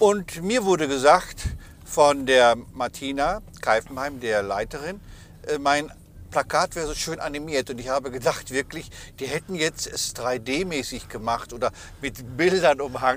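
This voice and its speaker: A man with an ordinary speaking voice, fairly high in pitch, at a fairly slow pace with ordinary pitch variation. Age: 60s. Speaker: cabaret artist and podcast host. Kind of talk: casual chat. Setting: travelling, on the way to an exhibition.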